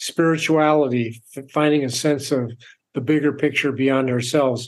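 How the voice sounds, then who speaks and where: A man speaks in a normal speaking voice at a moderate pace with fairly even intonation. The background is quiet. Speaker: author and purpose coach. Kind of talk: interview. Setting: remote call from home.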